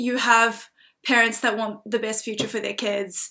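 A woman speaks with a fairly high pitch and a New Zealand accent. Her tone is bright and sharp. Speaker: recent university student and writer. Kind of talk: casual interview conversation. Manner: hesitant, many fillers.

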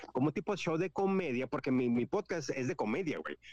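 A man's fairly high voice with lively intonation and a dry, close sound with no echo. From California, Mexican-American (parents from Guanajuato). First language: English-dominant heritage Spanish speaker (speaking Spanish). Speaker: podcaster. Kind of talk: casual chat.

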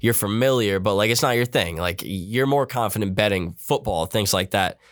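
A man with a normal speaking voice, fairly low in pitch with ordinary pitch variation, at a moderate pace on a very clean recording with a silent background. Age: 20s. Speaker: podcast co-host. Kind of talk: casual chat.

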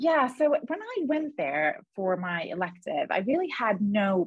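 A woman speaks with lively intonation in a somewhat breathy voice. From Sweden, Gothenburg. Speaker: radiologist. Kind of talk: casual interview.

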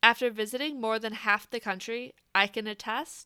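A woman with an American accent speaks at a moderate pace in a bright, sharp tone and a fairly high pitch. The recording is very clean and dry, close-miked with no echo and a silent background. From Wisconsin, US Midwest. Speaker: podcast host. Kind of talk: scripted narration.

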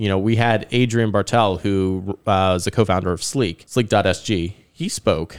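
On a very clean recording with a silent background, a man with an American accent and a fairly low pitch talks in an ordinary speaking voice at a moderate pace, his intonation fairly even and hardly any pauses between words. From third culture kid, American family raised abroad incl. Singapore. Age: 30s. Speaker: startup community organizer. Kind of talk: casual chat. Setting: studio.

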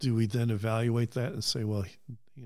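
Recorded very cleanly against a silent background, a man with a Midwestern American accent talks at a fairly quick pace in a medium pitch. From US Midwest (Cleveland, Ohio). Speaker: retired construction project manager. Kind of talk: casual interview.

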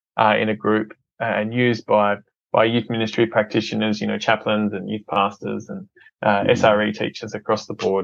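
A man with an Australian accent speaks at a medium pitch. His pace is moderate against a quiet background. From Australia, Adelaide. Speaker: filmmaker and ministry entrepreneur. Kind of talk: casual interview.

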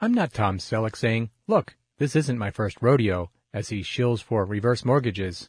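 In a dry, close sound with no echo, a man talks at a moderate pace and medium pitch, his voice somewhat breathy. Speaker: magazine audio narrator. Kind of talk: reading aloud.

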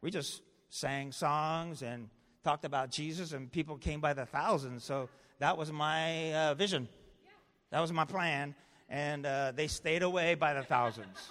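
Recorded very cleanly against a silent background, a man with a normal speaking voice and a fairly high pitch talks at a fairly slow pace with ordinary pitch variation. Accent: American. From Los Angeles, US West Coast. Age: 60s. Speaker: pastor. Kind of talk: sermon.

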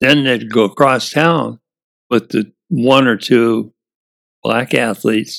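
Very slow, with long, frequent pauses: a man's medium-pitched voice in an American accent, showing vocal fry and ordinary pitch variation, in a dry, close sound with no echo. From US Midwest, Indiana. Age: 80s+. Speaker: retired baseball player and wood carver. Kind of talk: casual interview.

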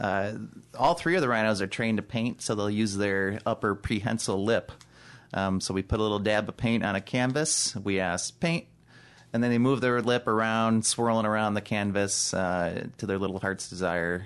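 Against a quiet background, a man with an American accent talks in an unremarkable speaking voice at a fairly low pitch. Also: ordinary pitch variation, moderate pace. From Chicago, US. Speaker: zookeeper supervisor. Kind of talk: casual interview.

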